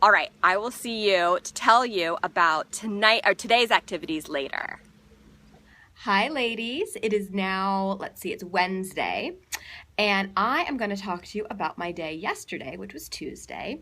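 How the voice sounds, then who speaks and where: A woman speaks at a moderate pace with lively intonation, an animated, bright and sharp tone, and big swings in loudness, on a very clean recording with a silent background. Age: 40s. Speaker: lifestyle vlogger. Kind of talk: video diary.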